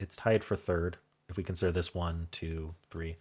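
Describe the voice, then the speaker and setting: A man speaks with a very deep, low pitch and an American accent, somewhat breathy and fairly slow. The recording is very clean, with a silent background. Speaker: puzzle game YouTuber. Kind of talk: casual solo commentary while solving a puzzle. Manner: thinking aloud, hesitant with fillers.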